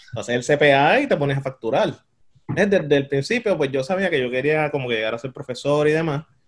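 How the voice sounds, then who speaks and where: Very fast male speech at a fairly high pitch with ordinary pitch variation. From Puerto Rico. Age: 30s. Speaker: demographer. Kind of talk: interview.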